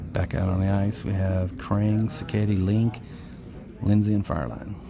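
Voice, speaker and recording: A soft-spoken voice with very even loudness and fairly even intonation, set against noticeable background noise. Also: man. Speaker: parent doing amateur play-by-play. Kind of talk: live commentary. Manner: fast-paced play-by-play.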